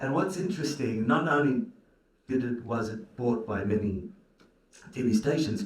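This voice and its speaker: A somewhat breathy voice with an Australian accent uses lively intonation. Audible room echo surrounds it. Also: man. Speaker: film producer and karate coach. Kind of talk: panel conversation.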